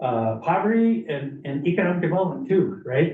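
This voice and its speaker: A man talks with a high pitch and lively intonation. Room echo is audible around him. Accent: American. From northern Minnesota. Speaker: community presenter at county meeting. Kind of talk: public presentation. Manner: fast.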